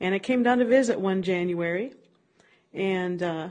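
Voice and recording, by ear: A woman with a Minnesota accent at a moderate pace and medium pitch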